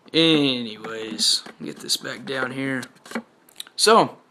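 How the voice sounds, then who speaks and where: Speaking with a Southern US accent, the voice moves at a very slow pace with ordinary pitch variation. Noticeable background noise runs under it. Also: man. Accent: Southern US rural. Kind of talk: casual gadget review to camera. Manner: casual, rambling.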